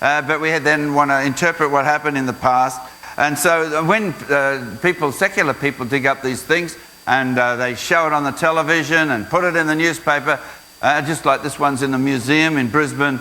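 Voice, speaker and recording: Speaking with an Australian accent, a man talks at a fairly quick pace in a fairly high pitch, with fairly even intonation and noticeable background noise. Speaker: creation science speaker. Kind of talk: school presentation. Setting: school assembly with audience.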